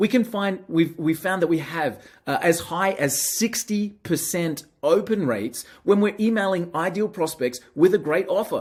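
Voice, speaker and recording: A man speaks with an Australian accent at a high pitch. His pace is moderate, with hardly any pauses. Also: ordinary pitch variation. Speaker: marketing software presenter. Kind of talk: product demo. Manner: casual, some filler hesitations.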